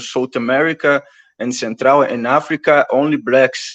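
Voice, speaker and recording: A Brazilian Portuguese accent with ordinary pitch variation, dry and close with no echo against a quiet background. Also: man. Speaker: activist. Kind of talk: interview conversation. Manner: halting.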